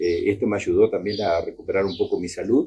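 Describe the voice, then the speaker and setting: A man is speaking. His pace is moderate. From Argentina, Entre Ríos. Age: 60s. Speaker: retired teacher and union member. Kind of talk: testimony. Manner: halting, many fillers.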